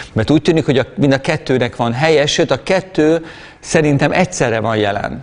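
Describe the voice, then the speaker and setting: A man is heard with noticeable background noise. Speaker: preacher. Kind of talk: sermon.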